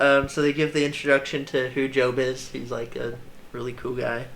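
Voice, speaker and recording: A man speaks at a fairly high pitch, his tone bright and sharp. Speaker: Bible teacher. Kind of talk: casual Bible study discussion. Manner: halting, many fillers.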